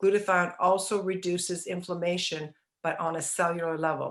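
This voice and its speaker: In a very clean recording with a silent background, a woman speaks at a fairly low pitch. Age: 60s. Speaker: wellness product promoter. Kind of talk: podcast discussion. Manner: animated.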